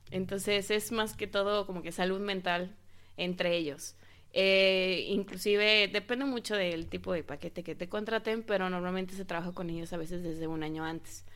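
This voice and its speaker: A woman with a Mexico City accent speaks at a medium pitch with fairly even intonation. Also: moderate pace. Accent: Mexico City (chilango) Spanish. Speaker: wedding planner. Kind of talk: interview.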